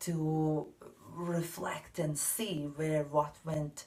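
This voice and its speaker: A woman's very deep, low voice with a non-native accent. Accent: non-native English, mispronounces some words. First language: not English. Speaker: tarot card reader. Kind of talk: spiritual card reading monologue. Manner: hesitant, many fillers.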